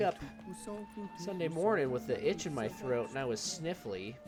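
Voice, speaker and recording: Music plays in the background behind a man with a fairly high pitch. He talks at a moderate pace, his pitch swinging very widely. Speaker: let's play gamer. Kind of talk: casual gameplay commentary.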